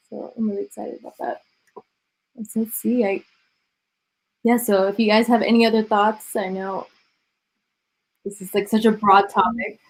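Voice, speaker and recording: Using an American accent, a woman with a fairly high pitch speaks at a moderate pace and fairly even intonation, with long, frequent pauses and big swings in loudness. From US, Miami. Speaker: reality TV personality moderating a panel. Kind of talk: live online panel discussion.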